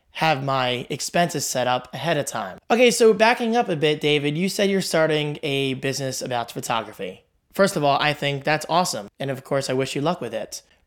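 On a very clean recording with a silent background, a man with a fairly high pitch talks at a fairly quick pace with lively intonation. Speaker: podcast host. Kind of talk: casual solo podcast, answering listener question. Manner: talkative, chatty.

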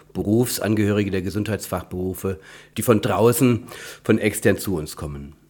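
This is a normal speaking voice with ordinary pitch variation. The recording is very clean, with a silent background. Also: man. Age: 50s. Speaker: physiotherapist and education campus director. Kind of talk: interview.

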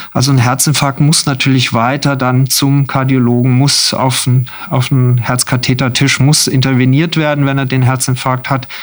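A man's medium-pitched voice, flat and monotone, at very even loudness and a moderate pace with hardly any pauses, over noticeable background noise. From southern Germany (Freiburg). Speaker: anaesthesiology chief physician. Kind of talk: radio interview.

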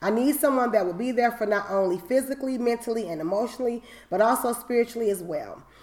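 A woman's fairly high, animated voice at a very fast pace, with ordinary pitch variation and noticeable background noise. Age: 40s. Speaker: podcast host. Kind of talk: casual chat.

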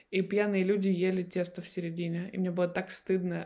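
A woman speaks at a moderate pace. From Russian Far East, Vladivostok. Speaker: chef and food project manager. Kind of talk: casual interview chat. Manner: animated.

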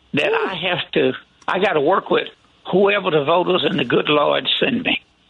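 A high-pitched male voice with an American accent, over noticeable background noise. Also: very even loudness. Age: 60s. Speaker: county commissioner and politician. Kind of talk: radio interview.

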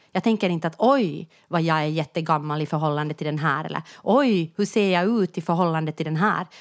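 Here is a plain, everyday voice: a woman's, fairly low in pitch with ordinary variation. She talks at a fairly quick pace with hardly any pauses. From Finland, Jakobstad (Ostrobothnia). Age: 40s. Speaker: podcast co-host. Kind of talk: casual chat.

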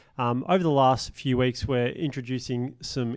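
Heard in a very clean recording with a silent background, a plain, everyday voice speaks at a moderate pace. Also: man. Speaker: podcast host. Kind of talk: casual interview.

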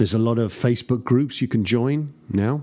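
An English accent with a dark, mellow tone, moderate pace and ordinary pitch variation. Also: man. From England. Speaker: record producer and mixer. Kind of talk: interview.

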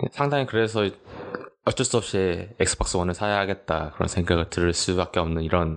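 A man with a very deep, low pitch talks at a fairly quick pace, his loudness very even and his pitch varying in an ordinary way. Noticeable noise sits in the background. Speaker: podcast host. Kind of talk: casual chat.

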